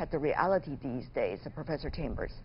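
This woman's voice carries vocal fry. Her pitch swings very widely. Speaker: news talk show host. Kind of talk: live TV interview. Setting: studio. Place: studio.

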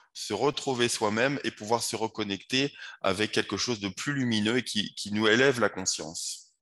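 A man talks fairly slowly with a quiet background behind him. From France, Paris. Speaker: wellness coach and yoga teacher; wellness coach, yoga teacher. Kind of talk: interview. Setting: video call. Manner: halting, repeats words. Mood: calm, earnest. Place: home room.

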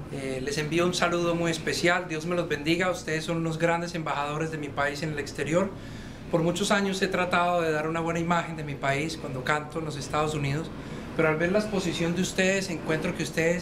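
Noticeable background noise runs under the recording. The speaker talks at a fairly quick pace. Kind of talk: spoken greeting message. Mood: warm, admiring. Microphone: camera far.

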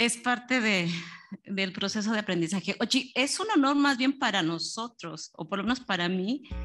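A woman's lively intonation at a fairly slow pace, with music in the background. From Mexico. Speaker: audience member asking question. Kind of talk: Q&A question.

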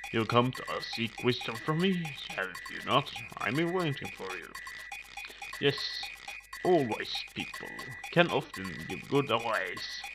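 Over clear background noise, a man uses a put-on character voice at a fairly slow pace with long, frequent pauses. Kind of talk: solemn sage storytelling. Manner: slow, wise, patient.

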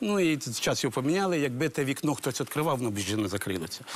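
The pitch rises and falls very widely. The speaker is a man. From Ukraine. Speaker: village head. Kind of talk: talk show testimony. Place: studio. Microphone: lapel.

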